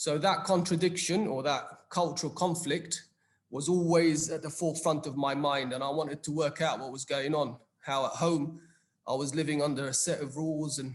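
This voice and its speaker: A man with a British accent speaks at a moderate pace. His voice is fairly high and somewhat breathy, with fairly even intonation. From England, London. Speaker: psychologist. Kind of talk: panel discussion.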